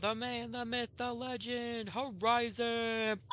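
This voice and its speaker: Clear background noise sits behind a put-on character voice at fairly high pitch. The delivery is fairly slow, with monotone, flat intonation. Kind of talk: announcer. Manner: grandiose, playful.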